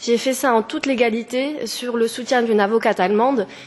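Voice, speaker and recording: The speech moves at a fairly quick pace with fairly even intonation, and noticeable background noise can be heard. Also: woman. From France, near German border. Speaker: petitioner. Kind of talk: formal testimony. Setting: parliamentary committee hearing. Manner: halting.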